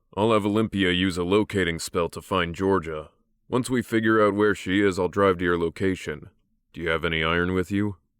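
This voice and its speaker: The pace is fairly quick. The voice is a put-on character voice. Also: man, very deep, low pitch for a man. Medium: read story. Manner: calm, authoritative.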